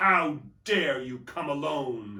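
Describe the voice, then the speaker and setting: A raspy, put-on character voice at a low-to-middle pitch. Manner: terrible, angry, imperious.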